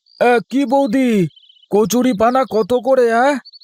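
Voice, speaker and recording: A cartoonish character voice talks at a fairly slow pace. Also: man, extremely high pitch for a man. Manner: excitable.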